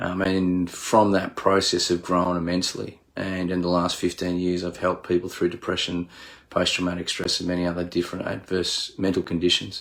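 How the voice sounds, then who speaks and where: In a very clean recording with a silent background, a man with an Australian accent speaks at a very deep, low pitch and a moderate pace in monotone, flat intonation. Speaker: leadership coach, military veteran. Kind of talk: casual monologue on mental health. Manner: hesitant, many fillers.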